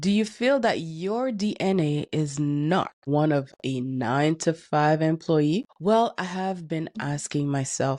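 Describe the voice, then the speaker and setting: Against a quiet background, a woman with a very deep, low pitch and a dark, mellow tone speaks at a very slow pace with lively intonation. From Canada, Haitian-Caribbean family. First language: French. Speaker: neuroscience educator. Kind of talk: motivational talk to camera. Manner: emphatic.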